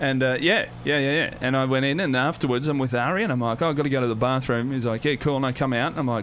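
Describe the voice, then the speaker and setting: A man with an Australian accent and a medium pitch speaks at a very fast pace with hardly any pauses. His loudness stays very even over noticeable background noise. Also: ordinary pitch variation. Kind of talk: casual chat. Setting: studio. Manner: rising intonation at sentence ends.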